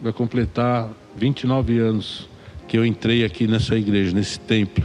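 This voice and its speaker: With fairly even intonation, a man speaks at a medium pitch in a dark, mellow tone. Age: 60s. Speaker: church ministry leader. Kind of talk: testimony. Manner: frequent filler 'né'.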